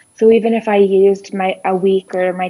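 A normal speaking voice from a woman at medium pitch, with fairly even intonation and a dry, close sound with no echo. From southwestern Ontario, Canada. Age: 30s. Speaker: guest living abroad. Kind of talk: casual interview chat.

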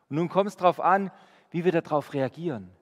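This man has an unremarkable speaking voice, fairly high in pitch, with lively intonation at a moderate pace. The recording is very clean, with a silent background. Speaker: preacher. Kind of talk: sermon. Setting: church. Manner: earnest, warm, conversational; direct, urging the congregation.

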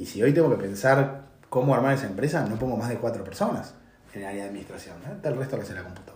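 Over noticeable background noise and audible room echo, a man at medium pitch speaks at a very fast pace with lively intonation and big swings in loudness. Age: 40s. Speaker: tech consulting CEO. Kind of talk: interview. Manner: halting.

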